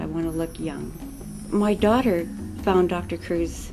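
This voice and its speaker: Music plays in the background as a woman speaks at a fairly slow pace with audible room echo. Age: 60s. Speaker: surgery patient. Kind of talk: testimony.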